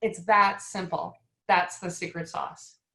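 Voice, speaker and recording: A woman with a slight Wisconsin accent. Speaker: retirement plan advisor. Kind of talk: casual panel chat.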